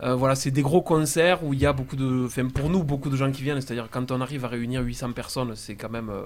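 A man's normal speaking voice at medium pitch, with fairly quick pace and fairly even intonation. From southern France, Castres (Tarn). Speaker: singer-songwriter in a band. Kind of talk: casual radio interview.

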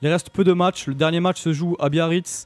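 A man speaks in a high pitch. His tone is upbeat. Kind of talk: live radio sports show host patter, briskly reading scores and news. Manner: brisk, upbeat, businesslike delivery.

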